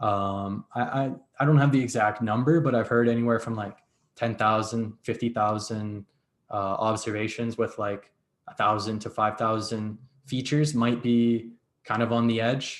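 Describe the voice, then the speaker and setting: A man speaks at a medium pitch and a moderate pace, with fairly even intonation. It is an ordinary speaking voice. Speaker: data science instructor. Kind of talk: lecture.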